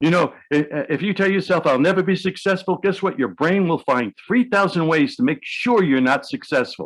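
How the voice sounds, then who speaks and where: A man with a New York accent speaks with vocal fry and very wide pitch swings over a quiet background. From New York City. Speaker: hypnotherapist. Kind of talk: interview. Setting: video call.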